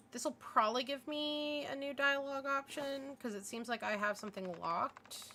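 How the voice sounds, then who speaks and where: A woman with a high pitch and a raised, projected voice talks at a moderate pace with ordinary pitch variation and hardly any pauses, over noticeable background noise. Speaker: streamer. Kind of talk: let's play commentary. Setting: livestream.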